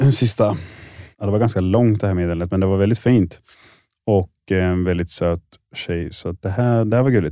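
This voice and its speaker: A man with a dark, mellow tone speaks at a moderate pace with long, frequent pauses, the sound dry and close with no echo. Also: fairly low pitch for a man, ordinary pitch variation, very clean recording, silent background. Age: 20s. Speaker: dating show contestant. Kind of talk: reading aloud.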